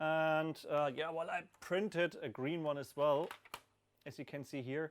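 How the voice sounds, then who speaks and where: The speaker is a man with a non-native accent. He talks at a fairly slow pace with a fairly high pitch. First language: not English. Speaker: hardware developer answering community questions. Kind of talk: live stream Q&A. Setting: live stream with camera, hot room under a spotlight. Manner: hesitant, many fillers.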